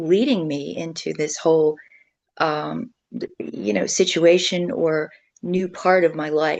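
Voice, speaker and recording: Against a quiet background, a woman with an American accent talks in a fairly low voice marked by vocal fry. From Maryland, Baltimore. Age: 70s. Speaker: food bank speaker and mental health advocate. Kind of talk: testimony. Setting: video call.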